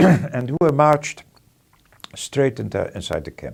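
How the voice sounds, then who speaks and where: In a very clean recording with a silent background, a man speaks at a moderate pace with vocal fry. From Poland, Krakow. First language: Polish. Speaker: Holocaust survivor. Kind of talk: testimony. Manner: halting.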